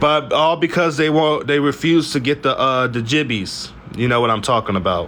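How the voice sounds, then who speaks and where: Very even loudness and ordinary pitch variation, over noticeable background noise. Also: man, fairly high pitch for a man. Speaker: political commentary vlogger. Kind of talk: news recap monologue. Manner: fast; animated.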